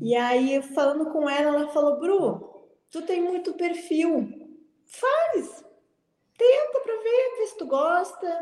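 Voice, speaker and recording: A woman talks very slowly in an extremely high pitch, with very wide pitch swings. Her tone is dark and mellow. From Porto Alegre, southern Brazil. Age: 20s. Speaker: flight attendant. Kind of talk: interview. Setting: live stream.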